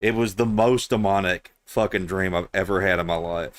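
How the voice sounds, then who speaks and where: The speaker has a strong Southern US accent, a moderate pace and ordinary pitch variation. The recording is very clean, with a silent background. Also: man. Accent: thick southern US. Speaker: video game streamer. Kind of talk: casual chat. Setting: live stream.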